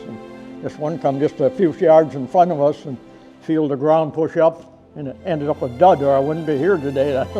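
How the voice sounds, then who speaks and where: Music plays behind a man with a fairly high pitch. He talks at a moderate pace with ordinary pitch variation. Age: 80s+. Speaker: war veteran. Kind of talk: interview.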